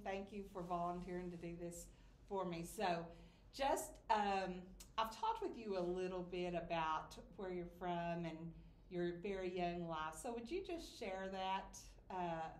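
The speech moves at a fairly slow pace with fairly even intonation. Room echo is audible. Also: woman. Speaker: interviewer. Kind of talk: interview questions. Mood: warm, polite. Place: home room. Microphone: camera far.

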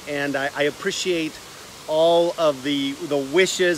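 With light background noise and a dry sound with no echo, a man speaks in a fairly even intonation. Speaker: online host. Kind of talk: casual livestream vlog chat. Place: garden. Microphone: phone near.

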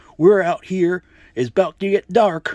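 A man performs in a cartoonish character voice. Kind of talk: homemade puppet comedy, vlog intro. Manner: chatty, excited, casual.

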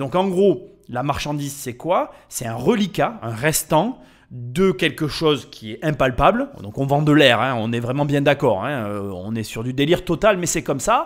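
A man speaks in an animated tone at a fairly slow pace, his pitch swinging very widely. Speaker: podcast host. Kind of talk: casual narration.

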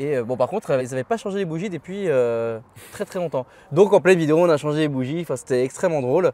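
Speaking at a very fast pace with ordinary pitch variation, a man is recorded in a dry sound with no echo. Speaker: car video host. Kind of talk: casual interview chat. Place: street. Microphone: lapel.

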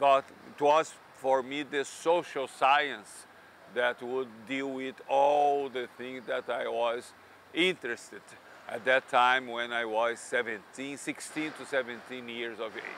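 A man talks at a very slow pace with fairly even intonation, the sound dry with no echo and light background noise behind him. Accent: Brazilian. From Brazil. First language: Portuguese. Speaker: economics professor. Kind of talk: interview monologue. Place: street. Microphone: lapel.

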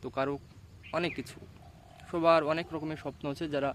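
A man speaks in a fairly high pitch. His intonation is monotone and flat. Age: 20s. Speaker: motivational YouTuber. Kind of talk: motivational monologue. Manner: halting.

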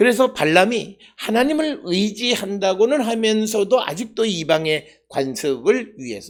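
The speech moves at a fairly slow pace with hardly any pauses. The intonation is lively. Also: man, high pitch for a man. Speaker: pastor and former Old Testament professor. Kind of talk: sermon. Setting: church, early morning service. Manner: hesitant, many filler sounds.

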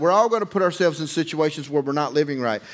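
Male speaker, quiet surroundings. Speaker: preacher. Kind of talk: sermon. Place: church.

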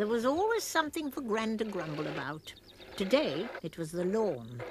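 A woman at a moderate pace, with very wide pitch swings, over noticeable background noise. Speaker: narrator. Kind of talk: children's story narration. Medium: cartoon.

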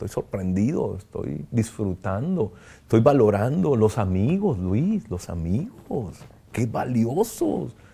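Speaking at a very slow pace, a man with a medium pitch and a dark, mellow tone sounds somewhat breathy and uses very wide pitch swings. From Tijuana, northern Mexico; northern Mexico. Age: 50s. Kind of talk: interview testimony. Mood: reflective, emotional, grateful. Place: home room. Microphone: lapel.

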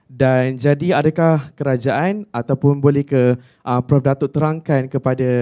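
Here a man speaks in a dark, mellow tone. The background is quiet. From Malaysia. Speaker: student. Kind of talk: audience question. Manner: halting. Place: hall.

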